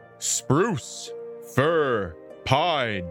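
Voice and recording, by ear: A gruff, growling put-on character voice sounds over clear music in the background. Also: man, medium pitch for a man.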